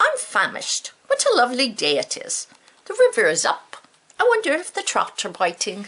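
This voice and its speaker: A woman puts on a character voice pitched extremely high. She speaks at a moderate pace. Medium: read story. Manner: bleating "ma" tag on sentences.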